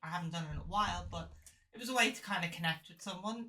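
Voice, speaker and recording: A woman with an Irish accent speaks at a fairly quick pace, her pitch varying in an ordinary way. Her tone is bright and sharp, with vocal fry. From Ireland. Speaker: podcast guest. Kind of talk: casual chat.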